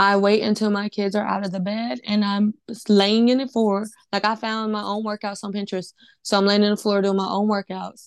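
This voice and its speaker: A woman with a medium pitch talks at a fairly quick pace. Her intonation is monotone and flat, over a quiet background. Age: 20s. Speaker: podcast co-host. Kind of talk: casual chat.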